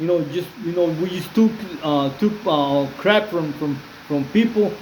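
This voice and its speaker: Spoken in a Spanish accent at a fairly slow pace, the voice shows ordinary pitch variation amid audible room echo and noticeable background noise. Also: man. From Mexico, Jalisco. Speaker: former prisoner, YouTuber. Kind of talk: casual video monologue. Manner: halting, many fillers and repetitions; switches between English and Spanish.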